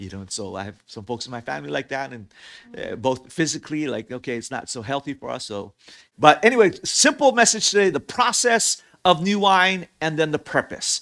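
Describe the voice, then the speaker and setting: In a very clean recording with a silent background, a man's bright, sharp, fairly high voice makes very wide pitch swings and big swings in loudness. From Hawaii. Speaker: pastor. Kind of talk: sermon.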